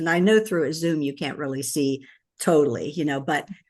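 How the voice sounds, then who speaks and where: Against a quiet background, a woman speaks with a very deep, low pitch and ordinary pitch variation. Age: 70s. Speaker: wellness and skincare product distributor. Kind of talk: casual interview chat. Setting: video call. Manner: halting, many fillers and repeats.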